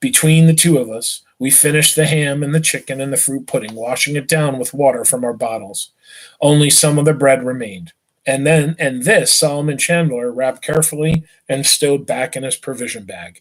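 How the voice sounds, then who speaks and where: Fairly quick and fairly high-pitched, a man talks in an unremarkable speaking voice with ordinary pitch variation. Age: 40s. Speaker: teacher reading a novel to students. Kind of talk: reading aloud. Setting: live online stream.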